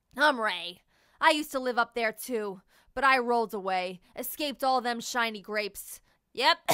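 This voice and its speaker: In a put-on character voice, a woman sounds gruff and fairly high-pitched, speaking at a moderate pace with ordinary pitch variation in a very clean recording with a silent background. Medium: read story. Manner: gruff, coughing.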